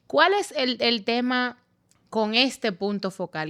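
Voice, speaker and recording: Delivered at a rather unhurried rate, the woman's voice comes through a very clean recording with total silence behind it. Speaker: lawyer and podcast host. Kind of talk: podcast interview. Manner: relaxed, informal.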